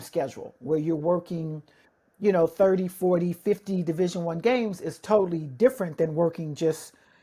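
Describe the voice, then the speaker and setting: In a very clean recording with a silent background, a woman speaks with a dark, mellow, somewhat breathy tone, a fairly low pitch and ordinary pitch variation. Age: 60s. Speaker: basketball referee supervisor and podcast host. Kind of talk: casual interview chat.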